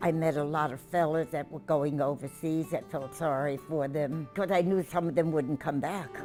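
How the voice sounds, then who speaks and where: A woman speaks at a moderate pace with hardly any pauses, her pitch very deep and low. Her intonation is fairly even, and music plays in the background. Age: 80s+. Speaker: war veteran. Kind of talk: interview answer.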